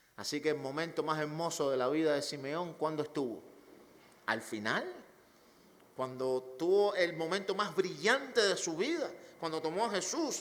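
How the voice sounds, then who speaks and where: With audible room echo around him, a man with a fairly high pitch speaks at a moderate pace with lively intonation and long, frequent pauses. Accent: Cuban. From Cuba. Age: 40s. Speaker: pastor. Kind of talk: sermon.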